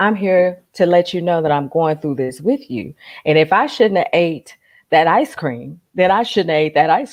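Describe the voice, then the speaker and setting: Against a quiet background, a woman speaks at a moderate pace with lively intonation and a fairly low pitch. She has an ordinary speaking voice. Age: 60s. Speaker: life coach. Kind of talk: casual chat.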